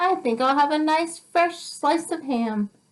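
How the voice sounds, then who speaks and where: A squeaky, high-pitched put-on character voice at a fairly slow pace. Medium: read story. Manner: polite, formal.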